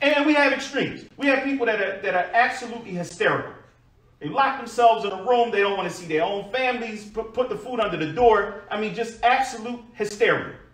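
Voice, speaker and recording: A man talks at a fairly quick pace in a high pitch with ordinary pitch variation. Room echo is audible. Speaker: preacher. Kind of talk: sermon. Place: church.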